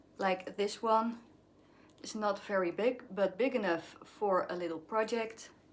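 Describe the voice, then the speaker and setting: A woman speaks with a Dutch accent at a fairly slow pace. Her pitch is medium and her intonation fairly even. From Netherlands. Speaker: craft vlogger. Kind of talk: casual vlog show-and-tell. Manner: halting, searching for words.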